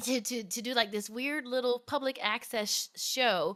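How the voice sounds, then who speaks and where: A woman with an American accent, bright and sharp in tone, lively in intonation, on a very clean recording with a silent background. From US South (Virginia, Alabama). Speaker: singer-songwriter. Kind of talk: casual chat. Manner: halting, many restarts.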